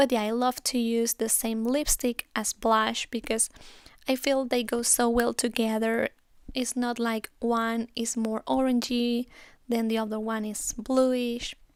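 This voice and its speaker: Fairly high in pitch and flat in intonation, a woman with a Spanish accent speaks at a fairly slow pace, recorded very cleanly with a silent background and a dry, close sound with no echo. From Spain. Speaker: beauty YouTuber. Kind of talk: makeup tutorial. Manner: casual, chatty.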